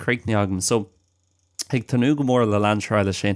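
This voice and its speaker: A man with an Irish accent and a fairly low voice, fairly even intonation, a dry, close sound with no echo, and a very clean recording with a silent background. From Ireland. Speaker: language podcast host. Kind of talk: casual chat. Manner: halting.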